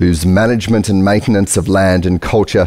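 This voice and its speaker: The background is quiet. A man speaks in a very deep, low pitch. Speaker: event host. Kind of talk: host introduction. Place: stage. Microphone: headset.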